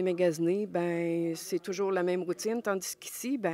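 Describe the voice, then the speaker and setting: Speech comes at a moderate pace with ordinary pitch variation. The sound is dry and close with no echo, on a very clean recording with a silent background. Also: woman. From Quebec, Montmagny. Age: 60s. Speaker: charity volunteer president. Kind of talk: interview. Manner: hesitant, many fillers.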